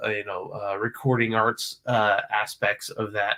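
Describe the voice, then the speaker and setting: With a North Carolina accent, a man speaks at a medium pitch in a flat monotone with a bright, sharp edge. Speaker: music professor and composer. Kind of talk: casual interview. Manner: halting, many fillers.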